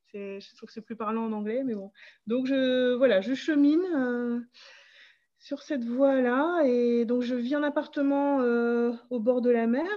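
A woman speaks very slowly in a high pitch with ordinary pitch variation. Her loudness swings widely. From northern France, Pas-de-Calais. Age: 40s. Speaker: English teacher planning a tiny-house hamlet. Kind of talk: interview, casual chat.

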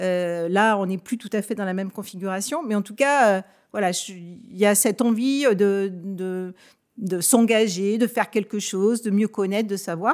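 At a fairly slow pace, a woman speaks in a normal speaking voice of medium pitch with ordinary pitch variation, on a very clean recording with a silent background. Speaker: network director. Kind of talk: panel discussion interview.

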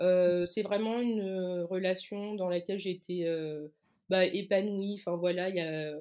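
A woman of medium pitch speaks at a very slow pace. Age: 20s. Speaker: communications freelancer and Instagram author. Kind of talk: interview testimony.

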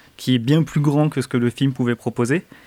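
At a fairly quick pace, a man speaks at medium pitch with fairly even intonation in a very clean recording over a silent background. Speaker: podcast host. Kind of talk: casual chat. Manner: halting.

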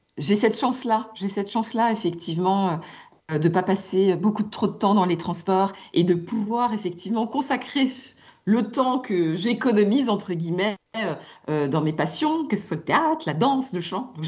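At a moderate pace, a woman with a medium pitch sounds somewhat breathy and uses lively intonation. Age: 50s. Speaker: communications executive. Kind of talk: radio interview.

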